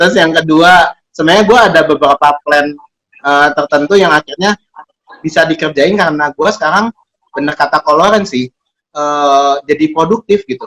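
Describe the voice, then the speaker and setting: A man speaks at a moderate pace with a fairly high pitch. The sound is dry and close, with no echo. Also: ordinary pitch variation. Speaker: co-host of an advice show reading listener letters. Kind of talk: casual chat.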